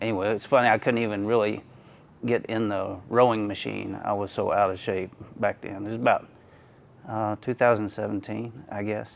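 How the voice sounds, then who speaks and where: Monotone, flat speech from a man with a fairly low pitch, at a moderate pace. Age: 60s. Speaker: masters powerlifter. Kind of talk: interview testimony. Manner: halting, many fillers.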